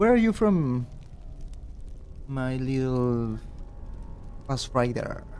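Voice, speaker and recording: With a Spanish accent and lively intonation, a medium-pitched man speaks very slowly with long, frequent pauses, amid audible room echo and noticeable background noise. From Peru. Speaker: game streamer. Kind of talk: live stream commentary.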